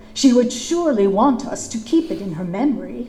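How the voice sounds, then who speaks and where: Using a put-on character voice, a woman speaks at a high pitch and fairly quick pace with lively intonation, with clear background noise. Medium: stage play. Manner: stiff, old-fashioned formal speech.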